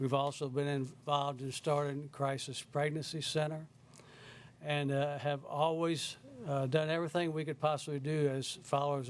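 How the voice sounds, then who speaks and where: With a Southern US accent, a man speaks at a fairly high pitch in a monotone, flat intonation. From South Carolina. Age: 70s. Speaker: member of the public giving testimony. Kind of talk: public testimony. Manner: halting.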